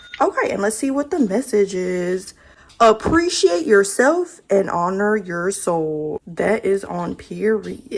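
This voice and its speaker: Over noticeable background noise, a woman speaks at a very slow pace. Her pitch is medium, and her intonation is lively. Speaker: lifestyle vlogger. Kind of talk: casual chat. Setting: home office. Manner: animated.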